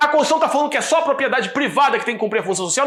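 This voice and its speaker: Audible room echo follows a man talking at a very fast pace with ordinary pitch variation. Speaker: law professor. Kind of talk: lecture. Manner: stumbling over words.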